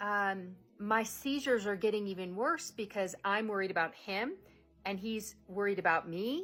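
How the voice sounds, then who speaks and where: A woman speaks in an unremarkable speaking voice. Her pitch is medium and her pace moderate. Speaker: vlogger with a neurological disorder. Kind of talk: personal vlog monologue.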